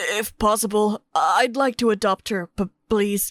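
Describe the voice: In a cartoonish character voice, a woman sounds raspy at a fairly high pitch, her intonation monotone and flat, her pace fairly slow, and the sound dry and close with no echo.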